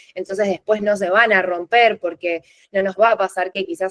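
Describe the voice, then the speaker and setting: In a dry, close sound with no echo, a woman talks at a fairly quick pace, her medium-pitched voice monotone with flat intonation. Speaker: UX content designer. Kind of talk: lecture. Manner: fast.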